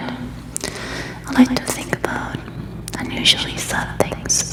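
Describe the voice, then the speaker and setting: A woman whispers over noticeable background noise. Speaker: ASMR creator. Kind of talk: ASMR personal questions game, casual talk to camera. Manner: soft-spoken, whispering.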